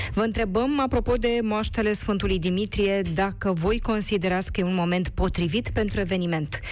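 A woman's medium-pitched voice with very even loudness, ordinary pitch variation and hardly any pauses, in audible room echo. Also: moderate pace. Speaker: radio host. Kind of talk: radio talk show hosting.

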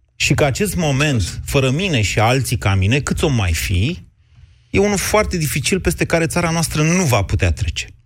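A man with vocal fry speaks at medium pitch and a moderate pace, his loudness very even while his pitch swings very widely. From southwestern Romania. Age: 40s. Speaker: radio host. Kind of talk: radio debate show. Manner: argumentative.

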